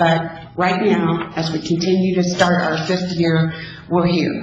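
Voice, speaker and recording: The speech moves at a fairly slow pace. Background noise is noticeable throughout. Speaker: program director seeking donations. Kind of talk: public meeting presentation. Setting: city council meeting. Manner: loud.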